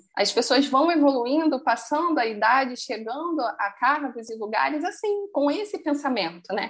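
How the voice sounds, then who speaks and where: Her voice is high for a woman, and her pitch swings very widely. She keeps a moderate pace with hardly any pauses. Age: 30s. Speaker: finance professional. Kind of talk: casual interview. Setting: remote call.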